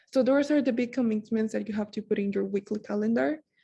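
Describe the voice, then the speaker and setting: Her voice is somewhat breathy, with a fairly high pitch and a dark, mellow tone. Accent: non-native. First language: not English. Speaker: student peer mentor. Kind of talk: workshop presentation. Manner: casual, many filler words.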